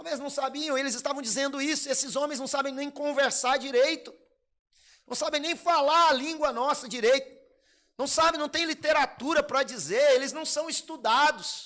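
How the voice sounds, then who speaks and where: At a moderate pace, the voice is raised and projected, bright and sharp, with an animated tone. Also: man, extremely high pitch for a man. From Brazil, Minas Gerais. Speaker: pastor. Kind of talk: sermon.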